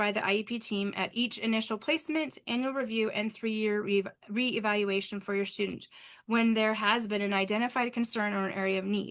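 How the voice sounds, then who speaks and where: A woman talks at a very fast pace with fairly high pitch. Her loudness stays very even. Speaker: parent advocate presenter. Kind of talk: webinar presentation. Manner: animated.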